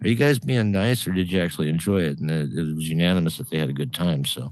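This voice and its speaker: With a very deep, low pitch, a man talks at a very fast pace. His intonation is lively. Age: 60s. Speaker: comedian. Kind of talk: casual chat.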